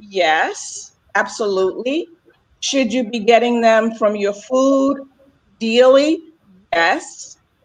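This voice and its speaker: A woman speaks very slowly with long, frequent pauses. Her fairly high voice has lively intonation. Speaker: health coach. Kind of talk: casual chat. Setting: video call.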